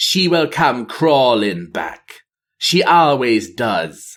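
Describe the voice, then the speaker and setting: Using a put-on character voice at a medium pitch, a man talks at a very slow pace on a very clean recording with a silent background. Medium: read story. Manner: cruel and bitter.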